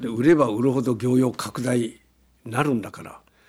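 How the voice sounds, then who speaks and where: Noticeable background noise sits behind this man's voice. He talks at a moderate pace and medium pitch. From Gunma, Japan (Shibukawa, Akagi). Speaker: company founder. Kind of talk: interview. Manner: animated.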